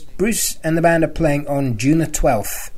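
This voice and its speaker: A man with a British accent talks at a fairly slow pace over music in the background. His pitch is fairly high, with ordinary pitch variation. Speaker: fan podcast host. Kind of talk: casual podcast monologue. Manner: halting, with fillers.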